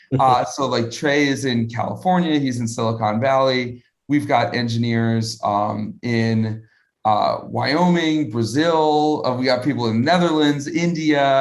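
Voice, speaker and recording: This man has an unremarkable speaking voice, medium in pitch, with an American accent, ordinary pitch variation and a fairly slow pace. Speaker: crypto startup founder. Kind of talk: live interview Q&A. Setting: live video stream. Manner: casual, many filler words.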